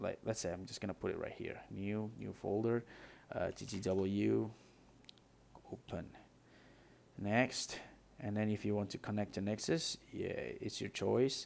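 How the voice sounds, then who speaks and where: Quiet and mumbling, a man with a non-native accent talks at a fairly slow pace with long, frequent pauses. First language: not English. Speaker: gaming tutorial creator. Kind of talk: software tutorial screen-recording narration. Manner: unscripted, some mumbling, quiet.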